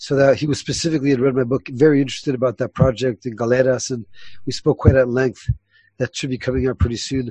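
Very fast and somewhat breathy, a man talks at a medium pitch. The sound is dry and close, with no echo. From Ecuador. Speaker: eco-lodge founder and rainforest ethnobotanist. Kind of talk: interview.

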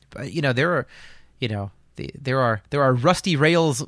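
Over a silent background in a very clean recording, a man with an American accent and an ordinary speaking voice talks at a medium pitch and a moderate pace with lively intonation. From eastern Pennsylvania, Lehigh Valley. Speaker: podcast host and railroad photographer. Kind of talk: casual chat.

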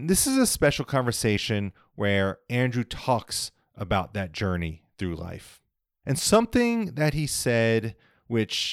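A man with a normal speaking voice and an American accent, medium in pitch, at a fairly slow pace, on a very clean recording with a silent background. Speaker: podcast host. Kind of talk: interview.

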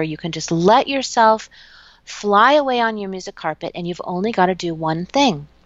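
A woman with an ordinary speaking voice, medium in pitch, at a fairly quick pace with lively intonation. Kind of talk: guided meditation.

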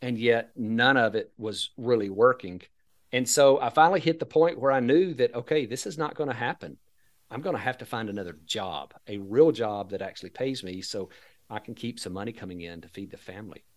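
A man with an American accent speaks at a medium pitch and a fairly quick pace, with lively intonation and big swings in loudness. The recording is very clean, with a silent background. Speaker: financial advisor and Social Security educator. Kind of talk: casual interview.

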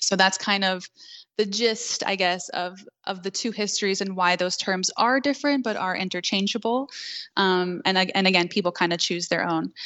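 Here is a woman with an American accent and an unremarkable speaking voice. Her medium pitch shows ordinary variation at a moderate pace. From New York City, Queens. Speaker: belly dance instructor. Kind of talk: interview.

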